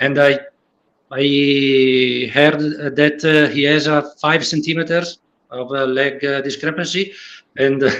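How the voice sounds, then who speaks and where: A man with an Italian accent speaks very slowly in a fairly high pitch, his intonation flat and monotone. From Italy. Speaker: patient with leg length difference. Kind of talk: roundtable discussion. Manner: halting, many fillers.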